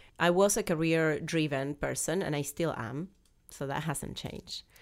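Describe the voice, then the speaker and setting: In a strong Argentine accent, a woman talks at a moderate pace with very deep, low pitch and ordinary pitch variation, captured in a very clean recording with a silent background. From Argentina. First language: Spanish. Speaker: business founder. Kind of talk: interview.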